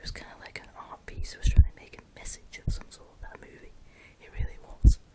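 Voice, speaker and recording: A fairly quick whisper comes through noticeable background noise. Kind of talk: casual chat about movies. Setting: home, late at night. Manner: whispered.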